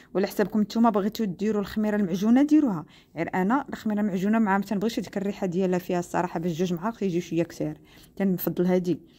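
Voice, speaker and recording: Speaking at a very fast pace, a woman has a dark, mellow tone. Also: ordinary pitch variation. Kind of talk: tutorial. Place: kitchen.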